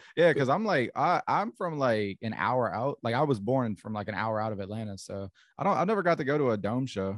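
A man with a plain, everyday voice speaks in an American accent at a medium pitch, fairly quickly and with hardly any pauses, his intonation lively. The recording is very clean with a silent background, and the sound is dry and close with no echo. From Georgia, US (Augusta). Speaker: wrestling commentator and content creator. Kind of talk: casual chat.

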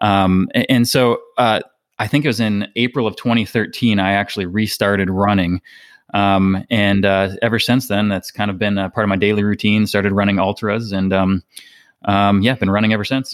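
A normal speaking voice from a man with an American accent, fairly low pitch, fairly even intonation, very even loudness and a moderate pace. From Minnesota. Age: 30s. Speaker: ultrarunner. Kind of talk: interview. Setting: remote call.

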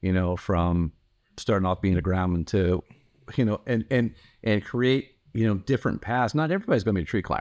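Over a quiet background, a man speaks fairly quickly in a fairly low pitch with ordinary pitch variation. His loudness stays very even. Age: 50s. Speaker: tree care company owner. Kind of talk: casual interview. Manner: halting with many repetitions.

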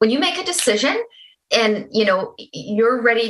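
A woman with a Canadian accent and a fairly high pitch talks at a fairly slow pace in an ordinary speaking voice. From Canada. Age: 40s. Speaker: holistic nutritionist. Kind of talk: interview.

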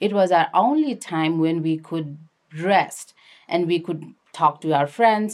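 At a fairly slow pace, a woman speaks with a Nepali accent and ordinary pitch variation, captured on a very clean recording with a silent background. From Nepal, Kathmandu area. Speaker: activist and documentary filmmaker. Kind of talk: interview.

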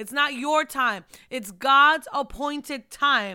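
A woman with a high pitch uses a raised, projected voice that has a bright, sharp tone. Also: very clean recording, silent background. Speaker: podcast host and ministry leader. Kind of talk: faith-based podcast talk with declarations. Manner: casual, chatty.

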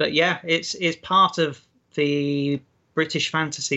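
Here a man talks at a very slow pace with a South Yorkshire accent. His voice is pitched fairly high. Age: 40s. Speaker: fantasy author. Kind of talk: interview.

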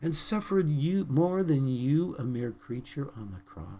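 This man's dark, mellow, somewhat breathy voice sits fairly high in pitch and moves in very wide pitch swings at a fairly slow pace. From British Columbia, Canada. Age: 70s. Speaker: preacher. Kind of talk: sermon. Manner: earnest, preaching.

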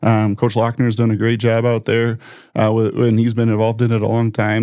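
A man in an Upper Midwest accent, medium-pitched, with a dark, mellow tone, monotone, flat intonation and a very fast pace. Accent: Upper Midwest American. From South Dakota, Sioux Falls. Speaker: financial planner and community volunteer. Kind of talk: casual interview.

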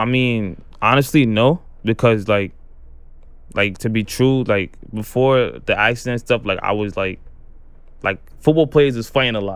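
A man speaks in a New York accent at a moderate pace, using medium pitch and ordinary pitch variation. His speech has long, frequent pauses. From Brooklyn, New York. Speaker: amputee college football player. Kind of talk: interview testimony.

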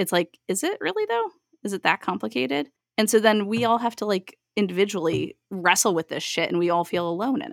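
With a plain, everyday voice at medium pitch, a woman talks at a fairly quick pace and with lively intonation, the sound dry and close with no echo. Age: 30s. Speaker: podcast host. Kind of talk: casual chat.

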